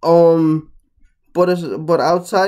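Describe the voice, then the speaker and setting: A high-pitched man's voice against a quiet background. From Guatemala. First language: Spanish. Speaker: YouTuber; vlogger. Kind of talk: casual vlog commentary. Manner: casual, with fillers. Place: home room. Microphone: webcam.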